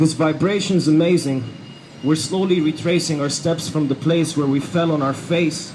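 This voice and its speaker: A man talks at a moderate pace, his fairly high voice keeping fairly even intonation while noticeable background noise carries on. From Egypt, raised in Dubai. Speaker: hip hop artist. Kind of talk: spoken word poetry performance. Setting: outdoors, rally. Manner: rhythmic, rhyming.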